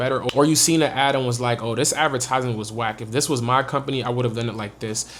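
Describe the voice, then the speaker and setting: An energetic man with an American accent at medium pitch, over noticeable background noise. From Maryland, US. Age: 20s. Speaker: social media marketing YouTuber. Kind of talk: tutorial. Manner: casual, energetic.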